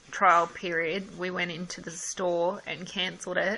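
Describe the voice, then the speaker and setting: With a strong Australian accent, a woman speaks at a fairly slow pace and a medium pitch. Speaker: customer complaining about service. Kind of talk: phone call with customer service.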